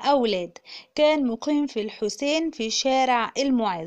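With an Egyptian accent, a woman talks at a very slow pace in a high pitch, using ordinary pitch variation. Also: quiet background. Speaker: YouTube narrator. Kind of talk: scripted narration.

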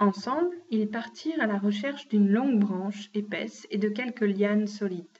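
Pitch varies in an ordinary way across an unforced reading voice.

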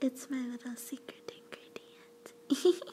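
A soft-spoken voice with a gentle tone over light background noise. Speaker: roleplay voice actor. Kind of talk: soft intimate roleplay, ASMR-like. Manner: soft, gentle ASMR roleplay voice.

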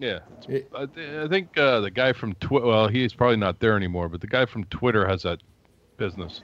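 A man with a normal speaking voice and medium pitch talks at a fairly quick pace. His intonation is lively, and the background is quiet. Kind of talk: casual chat.

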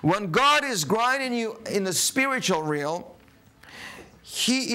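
A man speaks in a raised, projected voice at a very slow pace, his intonation lively. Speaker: preacher. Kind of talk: sermon. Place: studio.

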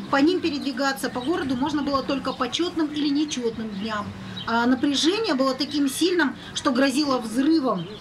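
Over noticeable background noise, a woman speaks at a high pitch and moderate pace with ordinary pitch variation. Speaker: news correspondent. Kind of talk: live report.

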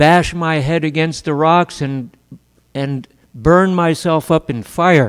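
Against a quiet background, the speaker talks at a very slow pace with fairly even intonation. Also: man. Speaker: lecturer. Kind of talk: religious lecture. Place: hall. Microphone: studio mic.

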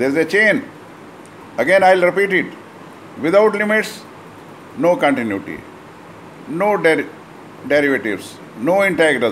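Speaking at a moderate pace with long, frequent pauses, a man with a high voice swings his pitch very widely over light background noise. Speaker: maths teacher. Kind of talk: lecture. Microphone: phone near.

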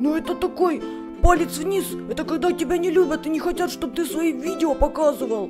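A put-on character voice moves at a fairly quick pace. Loud music plays in the background. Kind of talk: comic dub reading. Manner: relaxed, folksy.

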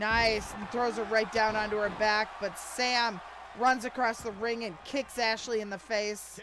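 A woman with a fairly high pitch speaks at a fairly slow pace in a monotone, flat intonation. Noticeable background noise sits behind her. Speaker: wrestling commentator. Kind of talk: live wrestling commentary. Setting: Twitch stream.

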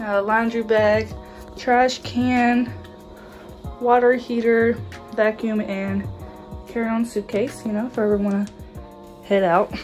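Faint music plays in the background as a woman speaks at a very slow pace. Her intonation stays fairly even. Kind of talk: casual vlog chat. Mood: relaxed, cheerful. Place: home room. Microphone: phone near.

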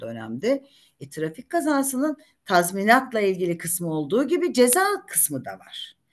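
Over a quiet background, a woman speaks at a moderate pace. Her voice makes very wide pitch swings. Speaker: retired judge and lawyer; retired judge, lawyer. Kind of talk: career talk to law students. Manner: talkative. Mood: warm, anecdotal. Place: home room. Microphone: video call.

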